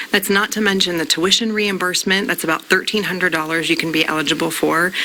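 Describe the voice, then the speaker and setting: Speech races at a very fast pace with ordinary pitch variation over noticeable background noise. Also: woman. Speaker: company representative giving hiring information. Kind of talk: interview answer on a morning show.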